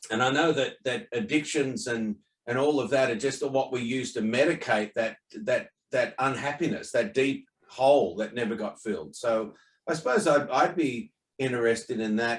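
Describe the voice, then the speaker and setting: An Australian accent with lively intonation at a moderate pace. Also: man, medium pitch for a man. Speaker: online talk host. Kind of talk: casual chat. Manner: halting.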